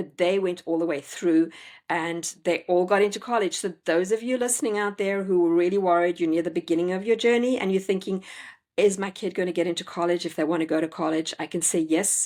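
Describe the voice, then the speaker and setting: Recorded very cleanly with a silent background, a woman with a South African accent talks at a fairly quick pace, her medium-pitched voice fairly even in intonation. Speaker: homeschooling parent and educator. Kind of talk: interview conversation.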